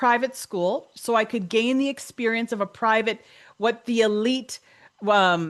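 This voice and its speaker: Against a quiet background, a woman with a Canadian accent speaks at a fairly slow pace in an ordinary speaking voice, her pitch fairly high and her pitch variation ordinary. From Canada. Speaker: podcast host, coach. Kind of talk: interview conversation.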